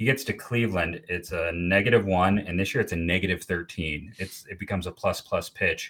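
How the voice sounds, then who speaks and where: A man speaks at a fairly quick pace with hardly any pauses. His voice is very deep and low, with ordinary pitch variation. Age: 40s. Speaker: baseball writer and podcaster. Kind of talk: casual chat. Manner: halting, many fillers.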